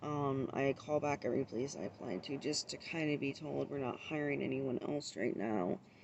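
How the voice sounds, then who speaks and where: At a moderate pace, a woman talks in a very deep, low pitch with hardly any pauses. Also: ordinary pitch variation. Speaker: vlogger. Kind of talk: casual vlog monologue. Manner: mumbling, stumbles over words.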